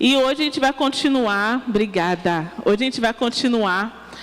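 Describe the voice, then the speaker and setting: Over noticeable background noise, a woman with a high-pitched voice speaks in an animated tone with lively intonation. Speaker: preacher. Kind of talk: sermon.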